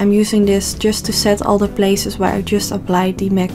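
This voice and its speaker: Music plays behind a woman of medium pitch who speaks at a moderate pace with a non-native accent. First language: not English. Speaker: makeup artist. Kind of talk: makeup tutorial voice-over.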